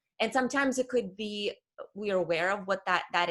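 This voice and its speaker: A woman with a slight non-native accent, a fairly high pitch, a bright, sharp tone and lively intonation, at a moderate pace on a very clean recording with a silent background. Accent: slight foreign. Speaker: career coach. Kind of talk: interview conversation.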